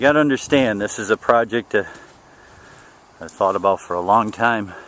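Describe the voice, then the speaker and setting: Over noticeable background noise, a man speaks at a fairly quick pace and a fairly low pitch, with ordinary pitch variation and big swings in loudness. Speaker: vlogger doing land clearing work. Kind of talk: walking tour vlog. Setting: outdoors, walking on a worksite. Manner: casual, conversational.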